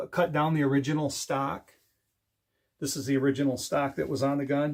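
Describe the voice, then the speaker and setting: A man speaks at a fairly high pitch in a monotone, flat intonation. The recording is very clean, with a silent background. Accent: American. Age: 50s. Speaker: DIY and firearms YouTuber. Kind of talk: casual show-and-tell video. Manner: conversational with fillers.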